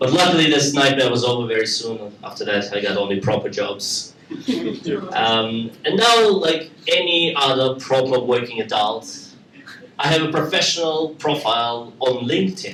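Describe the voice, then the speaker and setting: A man's medium-pitched voice with lively intonation at a moderate pace, over noticeable background noise. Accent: Russian. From Russia. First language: Russian. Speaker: stand-up comedian. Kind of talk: live stand-up comedy. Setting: live comedy club.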